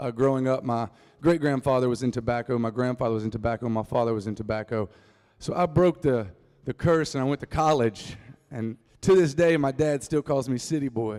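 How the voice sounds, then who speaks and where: Here a man talks with a North Carolina accent. His pitch is medium and his pace fairly quick. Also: ordinary pitch variation. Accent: rural North Carolina Southern. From US South, North Carolina Piedmont (Reidsville). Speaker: singer-songwriter. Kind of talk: storytelling talk to a live audience. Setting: stage with audience. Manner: casual, joking.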